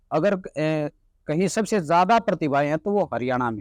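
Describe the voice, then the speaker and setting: Lively intonation marks a man's voice, heard dry and close with no echo over a quiet background. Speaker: journalist. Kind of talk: interview conversation.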